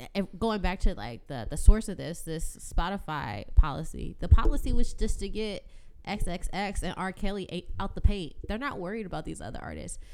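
A woman's medium-pitched voice with vocal fry, lively intonation, big swings in loudness and a moderate pace. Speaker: podcast guest. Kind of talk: casual chat.

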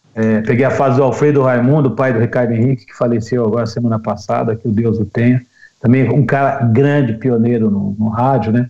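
A man speaks at a fairly quick pace in a dark, mellow tone. His pitch sits in the medium range with ordinary variation. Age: 50s. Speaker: radio announcer. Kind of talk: casual interview chat.

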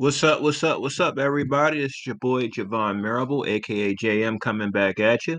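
A man with an unremarkable speaking voice and medium pitch talks fairly quickly with hardly any pauses. His pitch variation is ordinary. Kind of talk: radio-style podcast sign-off with blessings.

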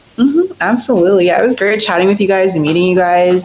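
A woman with an American accent and ordinary pitch variation, over noticeable background noise. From US, Northern Virginia. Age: 20s. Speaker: caller guest. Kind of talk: casual chat.

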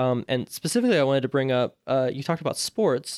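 On a very clean recording with a silent background and a dry, close sound with no echo, a man talks at a fairly quick pace in a normal speaking voice at a medium pitch. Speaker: podcast host. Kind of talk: casual interview chat.

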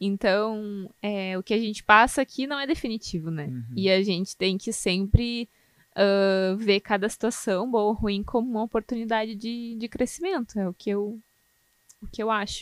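In a dry, close recording with no echo, a woman speaks at a moderate pace in an ordinary speaking voice, fairly high in pitch with ordinary pitch variation. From southern Brazil, Canoas near Porto Alegre. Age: 20s. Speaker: food quality analyst. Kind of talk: casual interview.

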